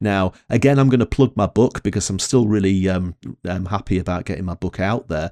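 On a very clean recording with a silent background, a man talks at a fairly low pitch in a Northern English accent. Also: dry, close sound with no echo. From northern England. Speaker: podcast co-host. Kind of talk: casual chat.

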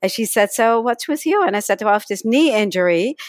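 A woman with a slight Dutch accent uses ordinary pitch variation, in a very clean recording with a silent background and a dry, close sound with no echo. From Netherlands. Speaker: energy healing teacher and author. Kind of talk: podcast interview.

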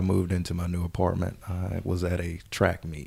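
Very deep, low pitch from a man with an American accent, a dark, mellow tone and a moderate pace. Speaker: business consultant. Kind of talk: interview.

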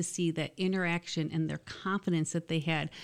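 Recorded very cleanly against a silent background, a woman with an American accent and a normal speaking voice talks fairly quickly at a fairly low pitch. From Michigan. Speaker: college dean. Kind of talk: casual interview.

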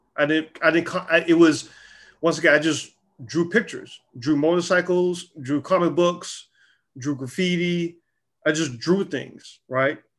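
In an American accent, someone speaks at a fairly slow pace with fairly even intonation against a quiet background. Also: man, high pitch for a man. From US South, Charlotte, North Carolina. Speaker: publisher and creative director. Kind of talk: casual interview.

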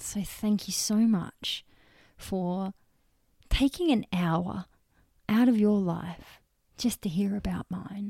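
In a very clean recording with a silent background and a dry, close sound with no echo, a woman with an Australian accent speaks at a very slow pace with long, frequent pauses, her medium-pitched, somewhat breathy voice dark, mellow and warm in tone, with ordinary pitch variation. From Western Australia. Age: 30s. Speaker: podcast host and transformation coach. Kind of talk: personal storytelling monologue. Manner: warm, casual.

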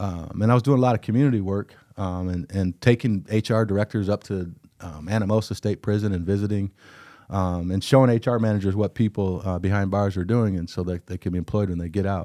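A man's dark, mellow, fairly low voice at a very fast pace, with a Midwestern American accent and fairly even intonation, in a dry, close sound with no echo and a very clean recording with a silent background. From Iowa, Cedar Rapids. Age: 50s. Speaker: diversity consultant. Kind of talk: casual interview.

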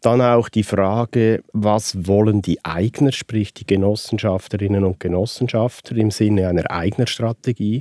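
On a very clean recording with a silent background and a dry, close sound with no echo, a man speaks at a fairly slow pace and fairly low pitch, his tone dark and mellow and his intonation fairly even. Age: 60s. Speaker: participation consultant. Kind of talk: interview.

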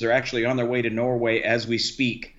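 A man at medium pitch is heard with audible room echo. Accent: American. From US South, Key West, Florida. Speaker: missionary and former pastor. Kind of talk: casual chat.

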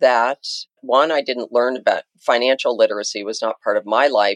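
Against a quiet background, a woman with an American accent speaks at a very deep, low pitch with lively intonation, the sound dry and close with no echo. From US Mountain West, Jackson Hole, Wyoming. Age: 60s. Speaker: money mindset coach. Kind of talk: interview conversation.

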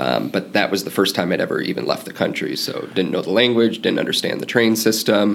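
A man with an American accent at a fairly quick pace with hardly any pauses, over noticeable background noise. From US Midwest. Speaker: cycling fan and traveler. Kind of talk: casual interview.

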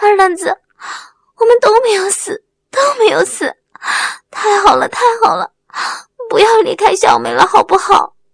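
Using a put-on character voice, a woman speaks at an extremely high pitch with lively intonation, vocal fry and long, frequent pauses, in a dry, close sound with no echo. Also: moderate pace.

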